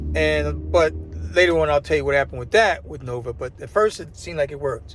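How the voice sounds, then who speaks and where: Somewhat breathy, a man with an American accent rushes along at a very fast pace while his pitch swings very widely. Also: medium pitch for a man. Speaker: vlogger and former English teacher. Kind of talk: casual vlog monologue. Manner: halting, many repetitions and fillers.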